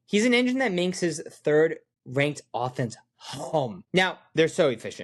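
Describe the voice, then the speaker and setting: A man speaks in a high-pitched voice. The background is quiet. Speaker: sports betting analyst. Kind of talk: sports betting analysis, casual monologue. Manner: casual, conversational.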